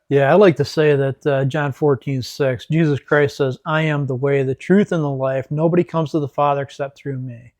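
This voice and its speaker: A man with an Upper Midwest accent and a fairly high pitch talks at a moderate pace with hardly any pauses and fairly even intonation, in a dry, close sound with no echo. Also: quiet background. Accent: Upper Midwest American. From West Michigan. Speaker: ministry leader, military veteran. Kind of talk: faith talk interview.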